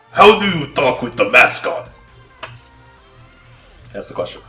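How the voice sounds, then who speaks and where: A man does a put-on character voice at a moderate pace. Faint music plays in the background. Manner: exaggerated impression voice.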